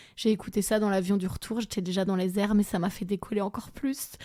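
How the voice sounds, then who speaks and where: The recording is very clean and the background silent. A woman speaks at a fairly quick pace. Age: 30s. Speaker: comedian. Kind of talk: casual podcast voice note.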